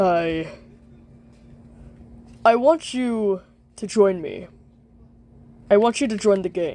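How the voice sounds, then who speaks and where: A cartoonish character voice, female-sounding and medium in pitch, speaks at a fairly slow pace. Long, frequent pauses break it up. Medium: puppet show. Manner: formal, stiff, dignified.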